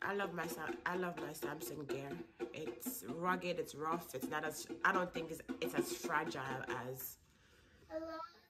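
A woman talks at a moderate pace with long, frequent pauses. Clear music plays in the background. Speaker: vlogger. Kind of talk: casual vlog chat. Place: kitchen. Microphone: phone near.

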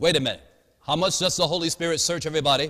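A man's bright, sharp tone comes with vocal fry against a quiet background. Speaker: preacher. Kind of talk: sermon. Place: church. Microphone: podium.

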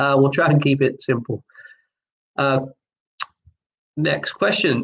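Somewhat breathy and very even in loudness, a man talks fairly slowly at a fairly high pitch. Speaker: online pub quiz host. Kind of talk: live online quiz hosting. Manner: monotone. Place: home room. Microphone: webcam.

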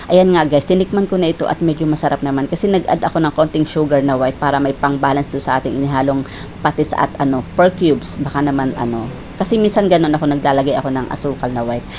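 Over noticeable background noise, a woman talks very fast with a very deep, low pitch and ordinary pitch variation. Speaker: cooking vlogger. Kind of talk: cooking vlog. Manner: casual, chatty.

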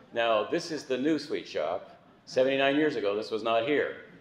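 A man talks fairly slowly, and audible room echo hangs around his words. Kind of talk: eulogy address. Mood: warm, gently celebratory. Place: hall. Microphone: camera far.

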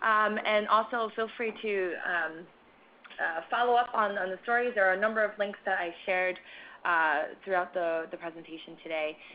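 Speaking with a plain, everyday voice, a woman keeps a moderate pace, a medium pitch and ordinary pitch variation. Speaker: webinar moderator. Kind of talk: webinar moderation. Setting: conference call webinar.

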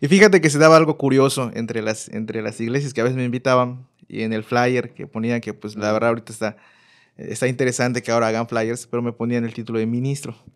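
A man at a medium pitch, very fast pace and fairly even intonation, on a very clean recording with a silent background. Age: 30s. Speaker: youth minister. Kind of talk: casual chat.

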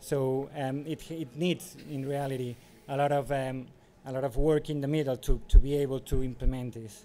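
Against light background noise, a man with a fairly high pitch speaks at a moderate pace in a dark, mellow tone, his intonation monotone and flat. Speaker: city mobility advisor. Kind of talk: conference presentation. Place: hall.

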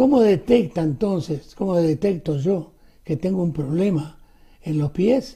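Against a quiet background, a man with a high voice and a dark, mellow tone talks fairly slowly with lively intonation. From Argentina or Uruguay. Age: 80s+. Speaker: show host. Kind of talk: interview. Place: studio.

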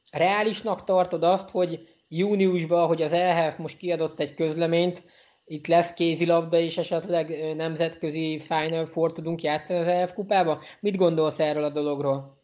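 The pace is fairly slow, with hardly any pauses. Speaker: sports interviewer. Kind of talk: interview. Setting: video call.

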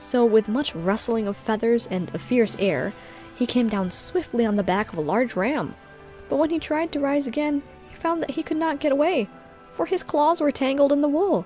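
A woman speaks at a moderate pace in a calm tone, her high voice making very wide pitch swings. The sound is dry with no echo, and faint music plays in the background. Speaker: streamer and storyteller; streamer, storyteller. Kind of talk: reading aloud. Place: home room.

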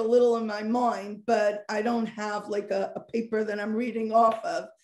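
A woman with an American accent speaks at a high pitch and a moderate pace. Audible room echo surrounds her voice. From Monsey, New York, US; New York. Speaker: social worker and parenting coach; parenting coach. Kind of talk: interview. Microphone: video call.

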